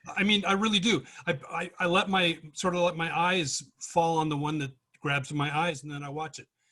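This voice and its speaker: Here a man talks at a fairly quick pace. His tone is bright and sharp. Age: 60s. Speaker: workshop participant. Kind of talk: casual chat.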